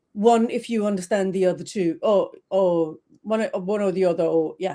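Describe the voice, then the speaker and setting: A woman at a moderate pace. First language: Danish. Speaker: trademark consultant. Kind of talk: interview. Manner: halting, many fillers.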